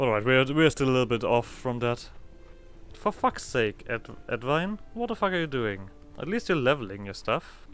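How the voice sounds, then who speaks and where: Over music in the background, a man with a German accent talks at a medium pitch and moderate pace with lively intonation. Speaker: gaming video creator. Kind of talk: let's play commentary. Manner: halting.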